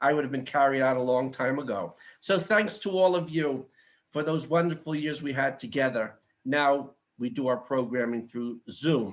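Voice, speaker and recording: In a plain, everyday voice, a man talks at a moderate pace with a fairly high pitch and ordinary pitch variation against a quiet background. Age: 60s. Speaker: event host and organization founder. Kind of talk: formal event introduction. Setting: video call from his home kitchen.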